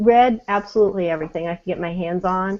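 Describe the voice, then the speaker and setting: An unremarkable speaking voice with an American accent, ordinary pitch variation and a fairly quick pace. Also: woman. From US Southwest (New Mexico). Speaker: online gaming community member. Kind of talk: casual chat. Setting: video call.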